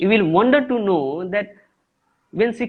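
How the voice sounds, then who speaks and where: The speaker talks at a moderate pace with an Indian accent. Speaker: English teacher. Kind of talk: interview. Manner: halting.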